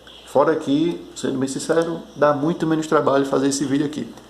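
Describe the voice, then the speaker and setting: A man speaks at a fairly high pitch, with audible room echo and noticeable background noise. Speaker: board game designer vlogger. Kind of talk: casual video diary, one take. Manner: halting, some stammering.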